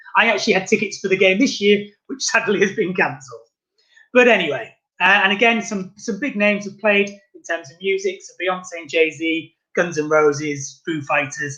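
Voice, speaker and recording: A high-pitched man with a British accent, a raised, projected voice, a bright, sharp tone, ordinary pitch variation and big swings in loudness. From England. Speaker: tourist guide. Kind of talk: virtual guided tour presentation. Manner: fast.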